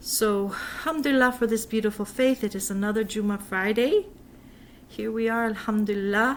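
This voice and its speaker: At a moderate pace, a woman uses an ordinary speaking voice, fairly high-pitched with fairly even intonation. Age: 50s. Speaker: religious vlogger. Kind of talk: casual religious talk to camera.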